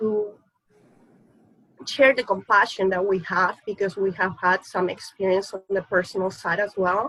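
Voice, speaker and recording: A woman with a slight non-native accent talks in a medium pitch. Her pace is moderate and her intonation fairly even. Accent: slight foreign accent, Spanish-speaking. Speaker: surrogacy agency executive. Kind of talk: panel discussion.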